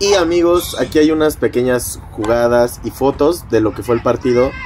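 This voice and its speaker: A man at a moderate pace with lively intonation, amid noticeable background noise. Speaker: vlogger. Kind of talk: casual vlog narration.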